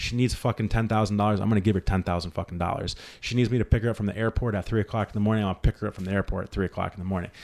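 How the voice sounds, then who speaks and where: Animated and energetic, a man with a fairly low pitch talks at a very fast pace. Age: 30s. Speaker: podcast host. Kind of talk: casual chat, profane, motivational. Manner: animated, energetic.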